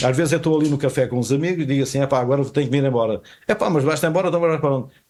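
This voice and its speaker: A man talks at a very fast pace with a fairly high pitch. His loudness stays very even, and his pitch varies in an ordinary way. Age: 80s+. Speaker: retired telecom technician and fado singer. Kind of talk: casual interview. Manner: halting, repeats words.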